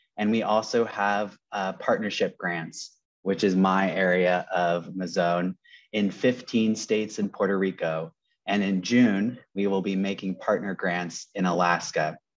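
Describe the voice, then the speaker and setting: A man talks at a fairly slow pace with fairly even intonation. His pitch is fairly low, and the background is quiet. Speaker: nonprofit program manager. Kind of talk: presentation. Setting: video call from Los Angeles. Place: office. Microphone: earbuds.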